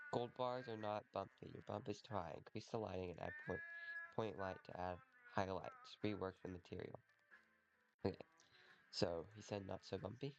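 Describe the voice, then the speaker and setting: Over music in the background, a man with a fairly low voice speaks with long, frequent pauses. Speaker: hobbyist 3D learner. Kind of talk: casual talk to camera.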